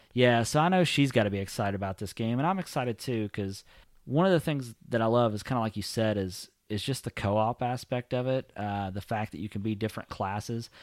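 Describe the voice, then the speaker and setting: A man talks in an ordinary speaking voice at medium pitch, fairly quickly with hardly any pauses and ordinary pitch variation, in a dry, close sound with no echo on a very clean recording with a silent background. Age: 30s. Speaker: gaming podcast co-host. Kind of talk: casual chat.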